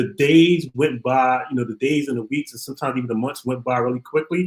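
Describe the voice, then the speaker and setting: A medium-pitched male voice with ordinary pitch variation. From Brooklyn, New York. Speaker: criminal justice activist, former prisoner. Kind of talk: interview.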